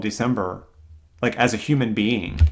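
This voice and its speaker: A man with an American accent speaks at a moderate pace and medium pitch, with ordinary pitch variation, on a very clean recording with a silent background. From US South, Greenville, South Carolina. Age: 30s. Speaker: orchestral clarinetist and teacher. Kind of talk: casual interview conversation.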